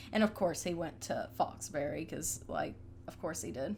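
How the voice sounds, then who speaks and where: This woman talks with a Southern US accent. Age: 20s. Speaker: gaming YouTuber. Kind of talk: casual gameplay voiceover. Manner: casual, hesitant with fillers.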